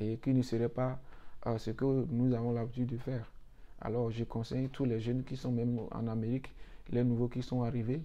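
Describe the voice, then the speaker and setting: With monotone, flat intonation, a man delivers his words at a medium pitch. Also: moderate pace. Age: young. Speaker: YouTuber giving visa advice. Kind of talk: motivational talk to viewers. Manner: hesitant, repeats words.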